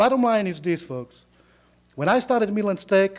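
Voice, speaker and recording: This man speaks with an Israeli accent and ordinary pitch variation. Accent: Israeli accent, noticeable. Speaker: attorney, college alumnus. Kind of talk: speech to audience.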